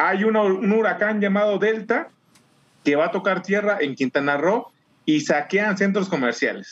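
The speaker talks at a fairly slow pace in a Mexican accent. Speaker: podcast co-host. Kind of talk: casual chat.

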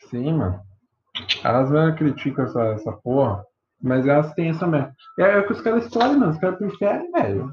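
Talking at a fairly quick pace with long, frequent pauses, a man with a fairly high voice makes very wide pitch swings. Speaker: podcast host. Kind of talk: casual chat. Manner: animated.

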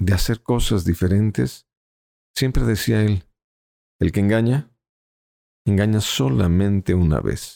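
A man speaks at a fairly slow pace in a very deep, low voice, his tone calm, dark and mellow, his intonation lively, and the sound dry and close with no echo. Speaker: stage hypnotist. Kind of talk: interview.

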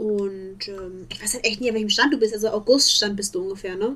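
A woman talks at a fairly high pitch and a moderate pace with hardly any pauses and big swings in loudness, over noticeable background noise. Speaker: podcast co-host, student. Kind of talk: casual chat. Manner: animated.

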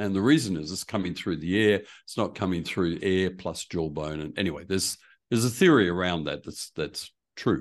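A man with an Australian accent, a very deep, low pitch and ordinary pitch variation, at a fairly quick pace against a quiet background. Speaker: preaching coach and church consultant. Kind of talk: casual interview.

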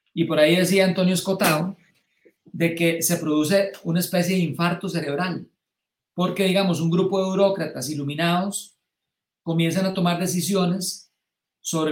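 A man's high-pitched voice at a fairly slow pace, with fairly even intonation. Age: 60s. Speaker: political commentator. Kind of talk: live-streamed political discussion. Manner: halting.

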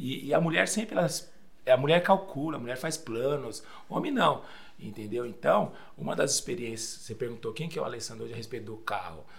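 Over noticeable background noise and audible room echo, a man at medium pitch talks at a fairly quick pace, with very wide pitch swings and big swings in loudness. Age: 40s. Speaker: pastor. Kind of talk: casual chat.

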